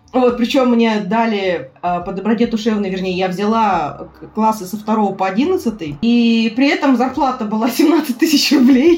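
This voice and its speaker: At a moderate pace, a woman with a fairly high pitch speaks with lively intonation over noticeable background noise. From Buryatia, Ulan-Ude. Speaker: tour guide. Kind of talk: casual chat. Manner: animated.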